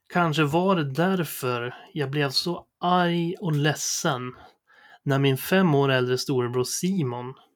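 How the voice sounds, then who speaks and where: Speaking at a very slow pace, a man uses a fairly high pitch with ordinary variation. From Sweden, Sundsvall area (Medelpad). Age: 30s. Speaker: podcast host. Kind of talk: personal monologue, scripted narration.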